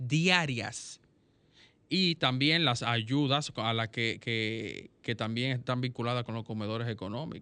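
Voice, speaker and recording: The pace is very slow. The background is quiet. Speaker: radio co-host. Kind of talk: radio magazine chat and commentary.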